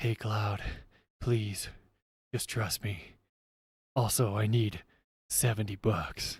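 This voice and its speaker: A man does a raspy, put-on character voice at a fairly low pitch. He goes at a fairly slow pace with long, frequent pauses. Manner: calm, menacing, straight-faced with no smirk or sarcasm.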